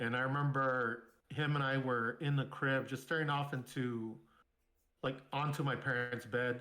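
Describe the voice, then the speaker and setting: Audible room echo surrounds a man whose bright, sharp tone comes with monotone, flat intonation at a fairly slow pace. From Southern California (San Bernardino). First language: Spanish. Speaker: military veteran. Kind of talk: casual interview, personal storytelling.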